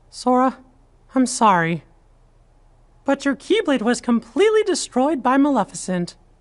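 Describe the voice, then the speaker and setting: In a put-on character voice, a female-sounding speaker talks at high pitch and a moderate pace, with long, frequent pauses. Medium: video game.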